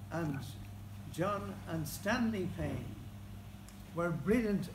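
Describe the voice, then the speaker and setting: Speaking very slowly in an Irish accent, a man uses a high pitch with very wide pitch swings and long, frequent pauses, with audible room echo around him. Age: 80s+. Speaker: local historian. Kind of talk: speech at book launch.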